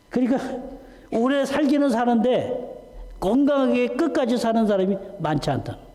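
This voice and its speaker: Speaking at a fairly slow pace, a man with an extremely high pitch and ordinary pitch variation is heard through noticeable background noise and audible room echo. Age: 60s. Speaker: visiting pastor. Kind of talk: sermon.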